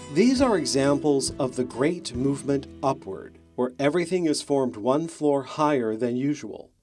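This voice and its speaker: With music in the background, a man with a fairly high voice talks at a moderate pace, his intonation lively and hardly any pauses in his speech. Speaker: documentary narrator. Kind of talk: documentary narration.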